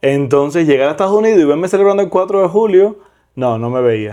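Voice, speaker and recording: Dark and mellow in tone, a man speaks at a very fast pace with very wide pitch swings. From Cuba, Villa Clara. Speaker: deported migrant. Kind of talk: podcast interview.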